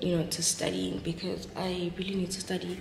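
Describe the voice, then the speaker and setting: Light background noise and audible room echo accompany a woman speaking at a moderate pace. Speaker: vlogger. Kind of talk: casual vlog chat. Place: home room. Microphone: phone near.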